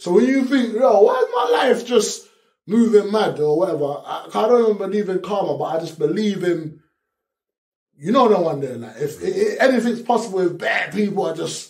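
A man with a South London accent, high-pitched for a man, lively intonation at a moderate pace, audible room echo over a quiet background. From Peckham, south-east London. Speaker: rapper; interviewee. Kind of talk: interview answer. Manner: candid, casual street slang. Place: studio.

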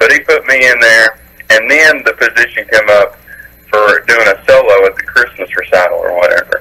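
Pitched fairly low, a man talks at a moderate pace with a bright, sharp tone and ordinary pitch variation.

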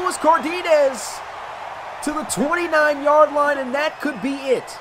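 Extremely high in pitch, a man talks in an animated tone over noticeable background noise. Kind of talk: sports commentary. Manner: animated, breaking into laughter at big plays.

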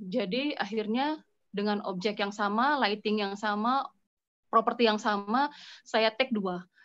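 A woman speaks at a fairly slow pace, her fairly high voice showing ordinary pitch variation. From Bandung, West Java, Indonesia; West Java, Indonesia. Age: 40s. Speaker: food photographer. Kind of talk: online class presentation. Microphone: phone; video call.

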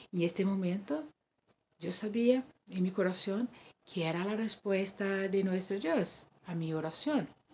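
A woman speaks fairly slowly in a dark, mellow, somewhat breathy tone, leaving long, frequent pauses. Light background noise sits behind her. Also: ordinary pitch variation. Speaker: church member giving testimony; guest. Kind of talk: testimony. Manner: halting. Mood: calm, emotional. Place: home room. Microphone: webcam.

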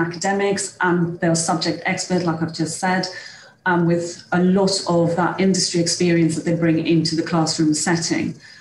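Against light background noise and audible room echo, a woman speaks at a fairly low pitch in a monotone, flat intonation with very even loudness. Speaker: head of higher education at a college. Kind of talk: presentation. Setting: video call.

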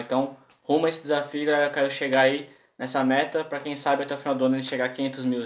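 There is audible room echo. Through it, a man talks very fast. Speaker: skate vlogger. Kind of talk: casual vlog news chat. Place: home room.

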